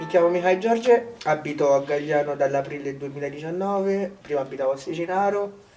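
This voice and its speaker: Music plays in the background as a man with a Romanian accent talks at a fairly quick pace, his fairly high pitch showing ordinary variation. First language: Romanian (speaking Italian). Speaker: village resident. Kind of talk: interview.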